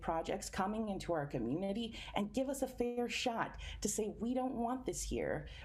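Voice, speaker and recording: In a room with audible echo, a woman speaks at a moderate pace with ordinary pitch variation. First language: Spanish. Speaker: environmental justice activist. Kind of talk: panel discussion.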